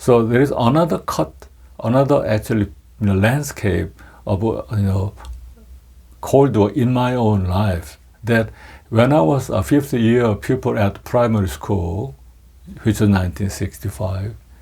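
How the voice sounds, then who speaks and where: The tone is dark and mellow, somewhat breathy, at a fairly slow pace. Long pauses come often. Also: man, fairly low pitch for a man, lively intonation. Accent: Korean. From South Korea. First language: Korean. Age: 60s. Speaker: political economist. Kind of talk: lecture. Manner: halting, many fillers.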